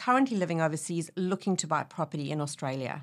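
A woman with a fairly low pitch has an ordinary speaking voice. The recording is very clean, with a silent background. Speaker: podcast host. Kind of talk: interview.

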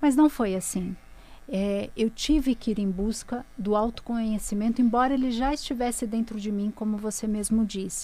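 Fairly high in pitch, a woman's voice carries a dark, mellow tone. She talks at a moderate pace with fairly even intonation. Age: 30s. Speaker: author and spiritual mentor. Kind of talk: personal testimony in interview.

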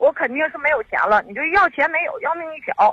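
A woman speaks with a high pitch and very wide pitch swings. The sound is dry and close, with no echo. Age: 30s. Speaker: caller. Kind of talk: phone call to radio show. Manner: halting, many fillers.

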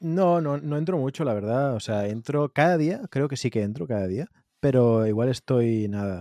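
With lively intonation and a dark, mellow tone, a man speaks at a moderate pace and medium pitch, the sound dry and close with no echo over a quiet background. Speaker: podcast co-host. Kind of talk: casual chat.

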